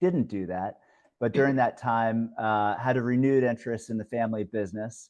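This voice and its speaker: Over a quiet background, a man with an American accent talks at a fairly quick pace in an ordinary speaking voice, at medium pitch with ordinary pitch variation. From US Midwest, Ohio. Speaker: investment fund manager. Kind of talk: webinar presentation.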